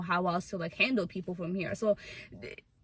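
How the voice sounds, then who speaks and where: The voice belongs to a woman. She speaks with a non-native accent. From Africa, came to US as refugee. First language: not English. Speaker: YouTuber. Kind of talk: casual chat. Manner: loud.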